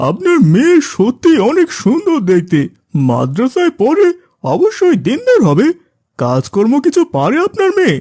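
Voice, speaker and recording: The cartoonish character voice is pitched high. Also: moderate pace. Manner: courteous but pressing.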